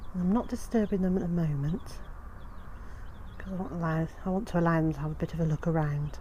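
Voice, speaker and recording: A woman with a British accent, fairly low pitch and ordinary pitch variation, very fast pace broken by long, frequent pauses. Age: 50s. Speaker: homesteader and gardening vlogger. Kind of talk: casual vlog narration. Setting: outdoors on homestead.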